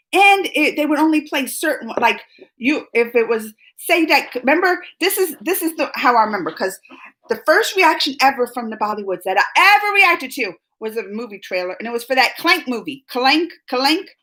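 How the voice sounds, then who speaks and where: Raised and projected, a woman's high voice moves at a fairly quick pace with an animated tone and very wide pitch swings. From US South, New Orleans, later moved north. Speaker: YouTube reaction host. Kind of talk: live stream chat reading viewer comments. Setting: live stream.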